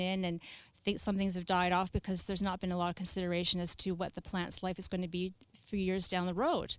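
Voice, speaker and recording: In a Canadian accent, a woman talks at a very fast pace with a medium pitch. Her intonation is fairly even, and the recording is very clean with a silent background. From Canada, Victoria BC. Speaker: landscape designer. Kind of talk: casual chat. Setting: studio.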